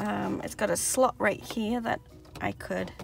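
A woman at a fairly slow pace, dry with no echo, over loud background noise. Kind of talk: casual tutorial vlog chat. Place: car. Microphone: phone near.

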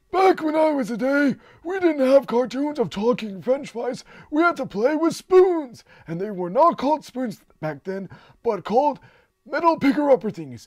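A man's put-on character voice, extremely high pitched, with very wide pitch swings at a moderate pace. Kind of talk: character voice impression.

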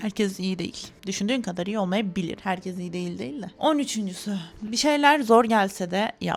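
A plain, everyday voice: a woman of medium pitch, lively intonation, moderate pace and hardly any pauses. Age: 20s. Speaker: YouTuber, master's student. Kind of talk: vlog monologue to camera. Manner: casual, chatty.

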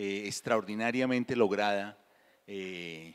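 Against a quiet background, a man with an unremarkable speaking voice talks in a fairly low pitch with fairly even intonation. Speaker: moderator. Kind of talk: event introduction before an on-stage interview. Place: stage. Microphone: handheld.

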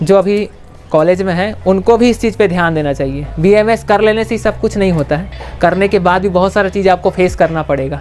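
Over faint music in the background, a high-pitched man talks at a moderate pace with hardly any pauses. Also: ordinary pitch variation. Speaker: vlogger on medical careers. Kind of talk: opinion vlog rant. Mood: frustrated, venting. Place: street. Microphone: lapel.

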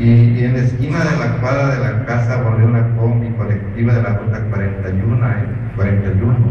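A man's monotone, flat-intoned delivery at a fairly slow pace, with audible room echo and light background noise. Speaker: reader at a cultural festival. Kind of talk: reading a written chronicle. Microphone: camera far.

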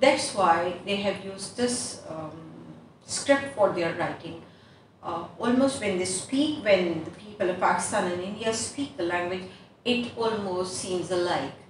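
Talking at a fairly slow pace with lively intonation, a woman is heard amid audible room echo and light background noise. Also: medium pitch for a woman. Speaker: English teacher. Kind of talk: online lesson. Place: classroom. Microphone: camera far.

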